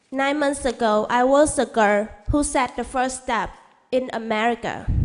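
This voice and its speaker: A woman's high voice in a Vietnamese accent, with fairly even intonation and a fairly slow pace. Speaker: international student. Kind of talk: public comment speech. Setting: board meeting.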